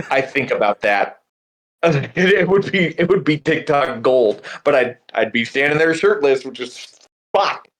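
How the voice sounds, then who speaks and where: Here is a man with a normal speaking voice and a fairly high pitch. He talks at a fairly slow pace with lively intonation. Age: middle-aged. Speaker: teacher and podcast co-host. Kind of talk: casual chat.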